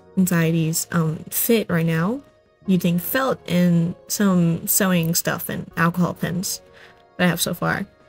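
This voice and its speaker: Over music in the background, a woman speaks at a fairly slow pace with fairly low pitch and fairly even intonation. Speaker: craft video creator. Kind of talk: casual craft commentary voiceover. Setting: home recording without a microphone, under a duvet. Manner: casual, chatty, hesitant. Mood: friendly, enthusiastic, slightly shy. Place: home room. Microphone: phone near.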